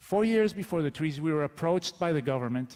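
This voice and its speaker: This is a man with a Spanish accent. His pitch sits fairly high. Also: dry, close sound with no echo. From Colombia. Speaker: advertising executive. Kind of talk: conference talk.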